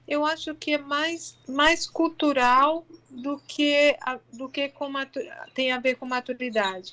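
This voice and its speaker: A woman speaks in a raised, projected voice, high in pitch with ordinary variation and a bright, sharp tone. Her pace is very slow, over a quiet background. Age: 40s. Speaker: integrative therapist. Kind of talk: interview conversation. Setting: online live stream.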